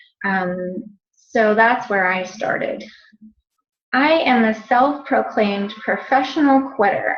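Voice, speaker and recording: A woman's fairly high voice, very slow, with ordinary pitch variation and audible room echo. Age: 40s. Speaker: fitness coach. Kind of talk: webinar presentation. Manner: hesitant, many fillers.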